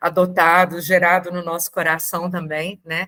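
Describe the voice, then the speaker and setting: Speaking at a moderate pace, a woman has a bright, sharp tone and a medium pitch. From Brazil, Brasília. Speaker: adoptive mother and invited speaker. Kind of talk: talk to support group.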